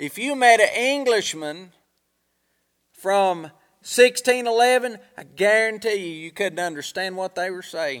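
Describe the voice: A man's high, fairly bright voice at a fairly slow pace, with lively intonation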